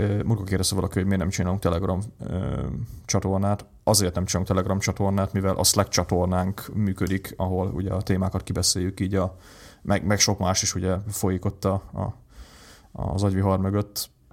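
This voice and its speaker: With a very deep, low pitch, a man speaks fairly quickly in a flat monotone, recorded very cleanly against a silent background. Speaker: tech podcast co-host. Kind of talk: casual chat. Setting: home recording setup.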